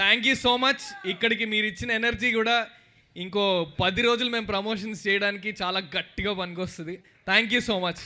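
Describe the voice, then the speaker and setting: A man with a high voice speaks in a fairly even intonation. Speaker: film actor. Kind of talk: speech at film trailer launch event. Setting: auditorium with live crowd.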